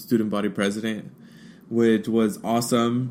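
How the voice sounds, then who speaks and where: With a Spanish accent, the speaker keeps a fairly even intonation. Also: man. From United States, Mexican-American family. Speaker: diversity educator, podcast host. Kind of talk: personal talk, solo podcast.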